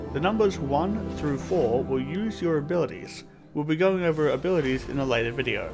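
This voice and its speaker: Music plays in the background as a man talks at a fairly quick pace. His voice is fairly high, with ordinary pitch variation. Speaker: gaming YouTuber. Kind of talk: game tutorial narration.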